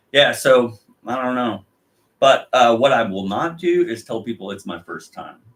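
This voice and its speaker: A man talks at a moderate pace and medium pitch. His intonation is lively, and his loudness swings widely. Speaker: podcast co-host. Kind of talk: casual chat.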